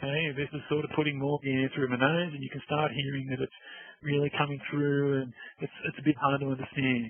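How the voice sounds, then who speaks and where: Putting on a character voice, a man speaks nasally at a fairly high pitch. His delivery is fairly quick, with monotone, flat intonation. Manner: hard to understand.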